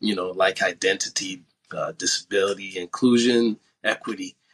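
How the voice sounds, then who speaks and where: The background stays quiet while a man speaks. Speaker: podcast host. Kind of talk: interview questions. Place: home room. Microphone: video call.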